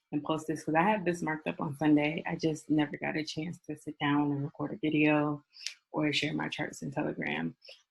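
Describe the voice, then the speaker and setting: Flat, monotone intonation comes with vocal fry at a fairly quick pace. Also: woman. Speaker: forex trading mentor. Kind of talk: casual chat; tutorial. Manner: fast; casual, many fillers.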